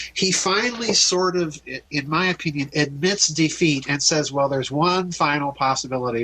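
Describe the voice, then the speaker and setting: Noticeable background noise sits behind a man with an American accent. His fairly high voice moves at a moderate pace with ordinary pitch variation. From US Midwest, South Dakota. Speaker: author and researcher. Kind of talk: interview on radio show.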